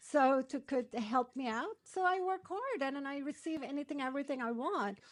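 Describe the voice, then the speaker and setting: A woman's high voice at a moderate pace, with lively intonation. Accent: Turkish. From Turkey. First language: Turkish. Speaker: matchmaker and dating coach. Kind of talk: interview.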